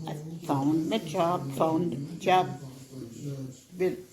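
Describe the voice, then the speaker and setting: Over noticeable background noise, a woman with a fairly low pitch talks at a very slow pace with long, frequent pauses. Her pitch varies in an ordinary way. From Jamaica. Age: 80s+. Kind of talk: interview answer.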